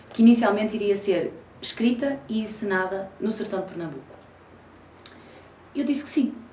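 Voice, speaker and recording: Against noticeable background noise and audible room echo, a woman speaks at a fairly high pitch with lively intonation, moderate pace, and long, frequent pauses. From Portugal, Porto. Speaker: actress. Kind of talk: interview. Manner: frequent hesitation fillers.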